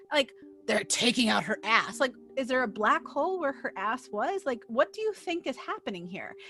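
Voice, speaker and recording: This woman has an American accent and a high pitch, speaking loud at a moderate pace with very wide pitch swings. Her tone is animated, with music playing in the background. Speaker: video game journalist. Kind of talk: commentary vlog.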